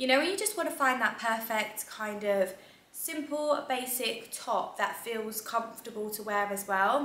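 A woman's voice comes with audible room echo. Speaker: lifestyle vlogger. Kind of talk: casual vlog chat. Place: home room. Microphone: camera far.

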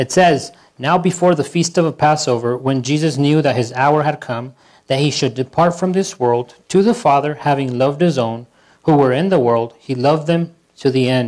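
The background is quiet as a man talks. He keeps a moderate pace and ordinary pitch variation. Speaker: pastor. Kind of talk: scripture reading in a sermon. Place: church.

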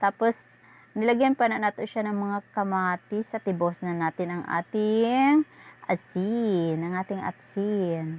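Pitch moves up and down in an ordinary way. The delivery is fairly slow. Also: woman, medium pitch for a woman. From Visayas, Philippines. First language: Cebuano (Bisaya) (speaking Tagalog). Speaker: cooking vlogger. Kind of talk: cooking tutorial. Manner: animated.

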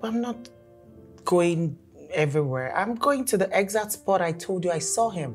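Faint music plays in the background. A woman speaks over it at a moderate pace. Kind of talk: scripted drama dialogue. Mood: worried, earnest. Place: home room.

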